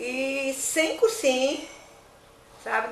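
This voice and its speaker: Noticeable noise fills the background. Over it, this woman talks at a high pitch. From northern Goiás, Brazil (now Tocantins). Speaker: former student, interviewee. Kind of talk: testimony.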